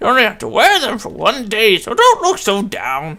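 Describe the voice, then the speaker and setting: Here a man performs a put-on character voice. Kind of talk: comic old grandma voice. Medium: game stream. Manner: warm, doting.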